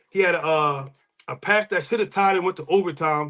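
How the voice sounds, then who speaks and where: This man's tone is bright and sharp. He moves along at a fairly quick pace. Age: 40s. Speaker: sports podcast host. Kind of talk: casual sports podcast monologue. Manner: animated.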